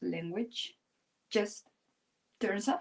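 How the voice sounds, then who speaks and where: A woman speaks with a Spanish accent. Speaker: art teacher. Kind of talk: live-stream drawing tutorial. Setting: live stream. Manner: pauses and goes silent while drawing.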